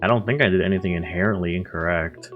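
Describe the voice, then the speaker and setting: Speech at a moderate pace with ordinary pitch variation, set against music in the background. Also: man. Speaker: card game content creator. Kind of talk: casual gameplay commentary.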